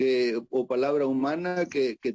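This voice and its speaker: In an Argentine accent, a man talks at medium pitch with a dark, mellow tone. The sound is dry and close, with no echo. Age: 60s. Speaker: psychiatrist. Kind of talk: conference talk. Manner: halting, many fillers.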